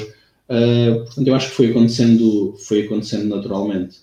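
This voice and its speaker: A man's fairly low, dark and mellow voice in a monotone, flat intonation. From Algarve, Portugal (Lagos). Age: 20s. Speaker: athletics coach. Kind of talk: casual interview.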